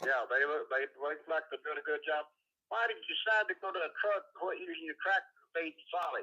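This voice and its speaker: Fairly quick speech with a Texan accent, the sound dry and close with no echo. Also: man. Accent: Texan Southern American. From Texas. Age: 80s+. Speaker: caller, retired cotton farmer. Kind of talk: phone-in chat. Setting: phone call.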